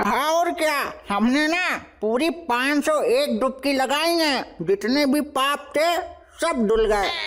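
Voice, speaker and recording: A high-pitched, cartoonish character voice moves at a very slow pace. Light background noise sits underneath. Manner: grumbling rustic dialect.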